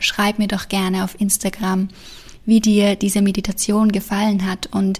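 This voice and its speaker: In a gentle, soothing tone, a woman speaks fairly slowly at a medium pitch, somewhat breathy and monotone with flat intonation. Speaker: meditation guide. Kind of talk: guided meditation. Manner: slow, soothing, calm; gentle, hushed with long pauses.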